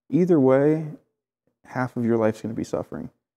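With a Midwestern accent, the voice has a dark, mellow tone and moves at a moderate pace with ordinary pitch variation over a quiet background. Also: man. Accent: American Midwest. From Clinton, Iowa, USA. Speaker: painter and tattoo artist. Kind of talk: interview answer. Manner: casual, conversational. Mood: reflective, candid, some swearing. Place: home room. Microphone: lapel.

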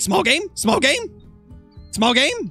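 A man in a put-on character voice at an extremely high pitch, with faint music in the background. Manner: repetitive, demanding.

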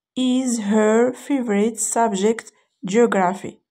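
A woman with a Moroccan accent speaks at a fairly high pitch in a dark, mellow tone. Her pitch varies in an ordinary way. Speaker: English teacher. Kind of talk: tutorial.

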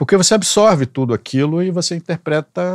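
The speech moves at a fairly quick pace with lively intonation. The sound is dry with no echo, over a quiet background. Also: man. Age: 60s. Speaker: songwriter; guest. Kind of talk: casual chat. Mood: relaxed, reflective. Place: studio. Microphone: studio mic.

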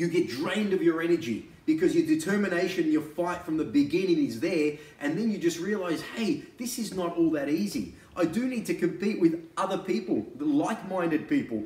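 In a room with audible echo, a man with a high pitch speaks at a fairly quick pace with ordinary pitch variation. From Australia. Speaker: real estate agent and auctioneer. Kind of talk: real estate sales pitch to camera. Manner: casual, conversational, persuasive. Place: home room. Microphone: camera far.

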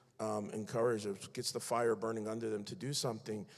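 With a Philadelphia accent, a man speaks at a moderate pace and fairly even intonation against a quiet background. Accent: Philadelphia American English. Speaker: faith-based activist; panelist. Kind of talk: panel discussion. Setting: stage with audience. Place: stage. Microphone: handheld.

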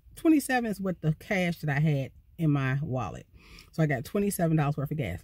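Against a quiet background, a woman speaks at a very deep, low pitch, somewhat breathy, in a dry sound with no echo. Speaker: van life vlogger. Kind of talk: casual vlog storytime. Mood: annoyed, animated. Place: car. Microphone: phone near.

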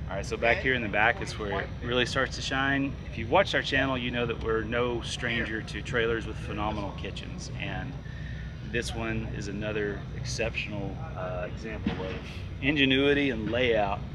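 A man's moderate-paced speech is heard with noticeable noise behind it. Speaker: presenter. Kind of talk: casual vlog product walkthrough. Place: open country. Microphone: camera far.

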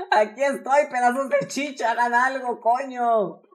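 The woman's pitch is fairly high. Her tone is animated. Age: 20s. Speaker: streamer. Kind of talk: casual gaming chat.

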